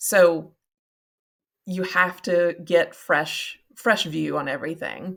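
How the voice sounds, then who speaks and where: A woman with a Kentucky accent speaks at a very slow pace, with long, frequent pauses. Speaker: nonprofit marketing consultant. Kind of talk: podcast interview.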